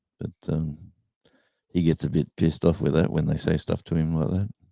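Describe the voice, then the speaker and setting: Speaking at a moderate pace with an Australian accent, a man has a very deep, low pitch and a dark, mellow tone, recorded very cleanly with a silent background and a dry, close sound with no echo. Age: 60s. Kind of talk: casual chat.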